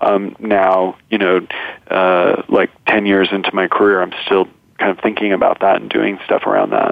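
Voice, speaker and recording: A man talks at a moderate pace with noticeable noise behind him. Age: 30s. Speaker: documentary filmmaker. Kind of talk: interview conversation.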